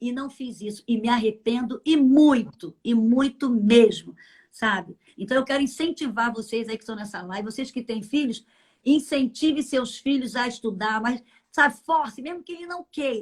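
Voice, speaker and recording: A woman talks in a high register, her pitch moving in an ordinary way, on a very clean recording with complete silence behind her. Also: moderate pace, big swings in loudness. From Brazil, Minas Gerais. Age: 60s. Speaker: church leader, pastor's wife. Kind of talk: interview. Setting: live stream.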